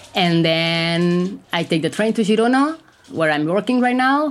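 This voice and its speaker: A woman with a Catalan accent and lively intonation. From Catalonia, Spain. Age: 30s. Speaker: language teacher and mental health activist. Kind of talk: interview testimony.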